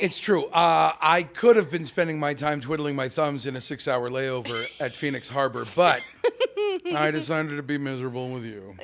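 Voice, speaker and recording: In a normal speaking voice, a man talks at a moderate pace with a fairly high pitch and ordinary pitch variation. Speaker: comedian and voice actor. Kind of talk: podcast interview answers, comedic banter.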